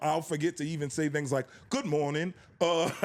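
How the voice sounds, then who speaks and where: A man with a fairly high pitch talks at a fairly quick pace in an ordinary speaking voice. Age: 30s. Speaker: R&B singer and music label executive. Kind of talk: casual interview.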